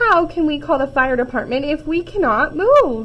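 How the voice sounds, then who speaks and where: In a high, put-on character voice, the woman talks at a moderate pace. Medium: read story.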